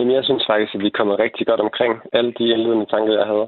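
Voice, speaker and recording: A man is speaking. His pace is very fast. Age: 20s. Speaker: investing YouTuber. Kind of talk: radio panel discussion. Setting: phone call. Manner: halting.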